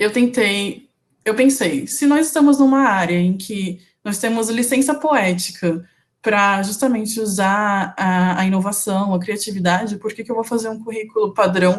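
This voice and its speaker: A woman speaks at a fairly slow pace with ordinary pitch variation. Her voice is somewhat breathy. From São Paulo, Brazil. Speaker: UX designer, alumna speaker. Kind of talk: online talk / presentation.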